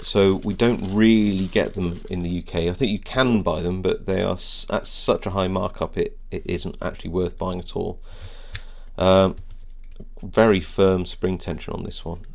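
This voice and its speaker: The speaker moves at a moderate pace with a British accent. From UK. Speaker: lockpicking hobbyist youtuber. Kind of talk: unboxing video commentary. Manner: hesitant, many fillers.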